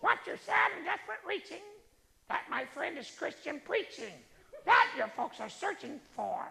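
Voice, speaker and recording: A squeaky, high-pitched put-on character voice moves at a moderate pace with very wide pitch swings. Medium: solo performance. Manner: blunt, confident.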